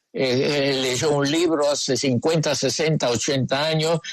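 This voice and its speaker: A man speaks with a fairly high pitch. His intonation is fairly even. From Argentina. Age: 80s+. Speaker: psychoanalyst. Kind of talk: radio interview answer.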